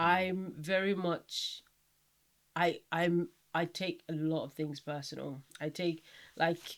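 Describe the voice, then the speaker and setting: On a very clean recording with a silent background, a woman with a fairly low pitch speaks at a very slow pace, with long, frequent pauses and monotone, flat intonation. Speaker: podcast co-host. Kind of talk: casual chat. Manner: pitch rises with passion.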